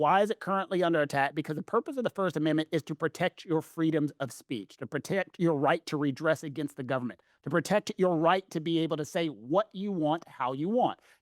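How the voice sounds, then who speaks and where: A man with a Southern US accent talks at a fairly quick pace and a high pitch, the sound dry and close with no echo. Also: very clean recording, silent background. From US South. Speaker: legal commentator. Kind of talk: casual chat.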